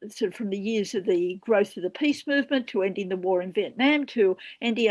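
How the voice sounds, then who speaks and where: A woman speaks in an Australian accent at a fairly quick pace. Her intonation is lively, and the background is quiet. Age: 70s. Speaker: peace activist and former senator. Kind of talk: panel discussion.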